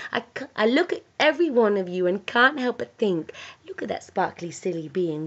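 A woman talks at a moderate pace. Her pitch swings very widely. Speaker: spoken word poet. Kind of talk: spoken word poetry reading. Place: home room. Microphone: webcam.

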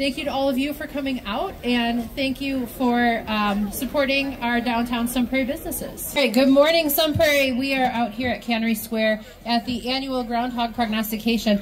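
Against light background noise, a woman speaks high and fairly quickly, with ordinary pitch variation. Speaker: event broadcast host. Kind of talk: live event commentary. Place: street. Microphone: headset.

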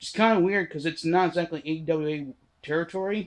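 Fairly quick speech from a man, the background quiet. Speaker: wrestling history vlogger. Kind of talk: casual vlog commentary. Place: home room. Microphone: phone near.

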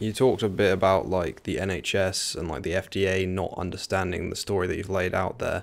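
A man speaks with a southern English accent and a very deep, low pitch. His intonation is fairly even, and he leaves hardly any pauses. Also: moderate pace. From England, near London. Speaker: podcast host. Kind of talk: interview. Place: home room. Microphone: studio mic.

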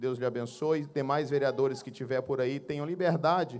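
A man speaks at a moderate pace. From Brazilian Northeast. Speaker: pastor. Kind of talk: church service announcements. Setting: church. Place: hall. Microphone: handheld.

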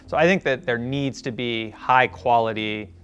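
There is faint background music. This man's pitch shows ordinary variation. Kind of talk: interview answer. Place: studio. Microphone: lapel.

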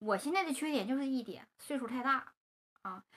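A woman with a Northeastern Chinese accent speaks at a fairly quick pace in a high pitch with ordinary pitch variation. Her tone is bright and sharp. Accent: Northeastern Mandarin. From Northeast China. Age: 30s. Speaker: vlogger; vlogger talking about seeking marriage. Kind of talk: personal monologue to camera. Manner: chatty, colloquial with many fillers. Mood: calm, wistful storytelling.

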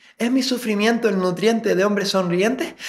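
A man talks at a moderate pace with a high pitch. His pitch varies in an ordinary way. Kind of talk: spoken word poetry. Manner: introspective, brooding.

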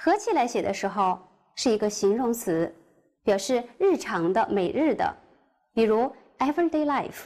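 A woman speaks with a Chinese accent at a moderate pace, her pitch swinging very widely. She leaves long, frequent pauses over a quiet background. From China. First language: Mandarin Chinese. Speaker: middle school English teacher. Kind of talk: lecture. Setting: recorded online class. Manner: formal. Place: studio. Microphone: lapel.

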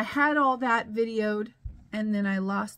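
The woman takes a fairly slow pace as she talks. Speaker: vlogger. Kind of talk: casual vlog chat. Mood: mildly exasperated, laughing. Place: office. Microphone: phone near.

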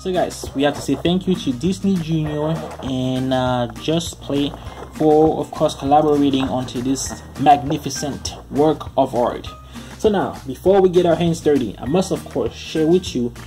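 The speech keeps a moderate pace, with clear music in the background. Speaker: toy reviewer. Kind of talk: casual toy review commentary. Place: home room.

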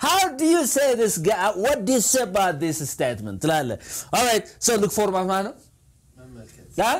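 A man speaks in an animated tone with very wide pitch swings against a quiet background. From Ethiopia. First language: Amharic. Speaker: English teacher. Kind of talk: tutorial. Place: studio. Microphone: lapel.

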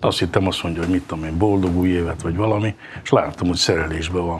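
A man's very deep, low voice at a very fast pace, fairly even intonation, light background noise. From Hungary. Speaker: table tennis player; guest. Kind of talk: casual interview. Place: studio. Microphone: lapel.

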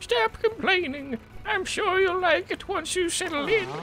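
A put-on character voice sits at an extremely high pitch. Background noise is clearly audible. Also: moderate pace. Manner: scolding, stern.

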